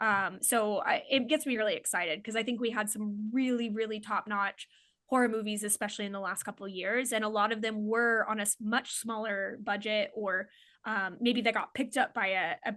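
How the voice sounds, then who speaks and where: Against a quiet background, a woman with a slight Oklahoma accent talks fairly quickly, her fairly high, bright, sharp voice keeping a fairly even intonation. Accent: slight Oklahoma accent on certain words. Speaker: comedian and filmmaker. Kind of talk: casual chat. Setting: podcast interview.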